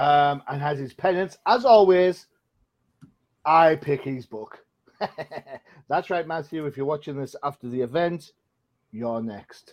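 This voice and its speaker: Speaking at a fairly slow pace with long, frequent pauses, a man with a British accent has a fairly high pitch, ordinary pitch variation and big swings in loudness. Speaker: comic book podcast host. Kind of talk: casual chat.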